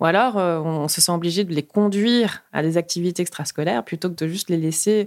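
On a very clean recording with a silent background, a woman with a fairly low pitch and ordinary pitch variation talks at a fairly quick pace. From Luxembourg, Peruvian family. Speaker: road safety activist. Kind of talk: interview. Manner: animated, with many hesitations.

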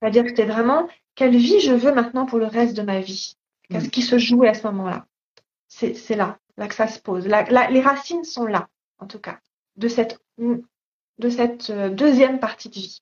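Moderate pace from a woman with a fairly high voice, ordinary pitch variation and big swings in loudness. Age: 50s. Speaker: body-awareness teacher, author, artist. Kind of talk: interview. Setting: Instagram live. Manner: halting, many repetitions and hesitations.

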